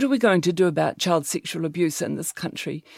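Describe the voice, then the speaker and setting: A woman with a fairly low pitch speaks with ordinary pitch variation. The recording is very clean and dry, close and free of echo, with a silent background. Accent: New Zealand. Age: 60s. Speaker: sex therapist and clinical psychologist. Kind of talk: interview.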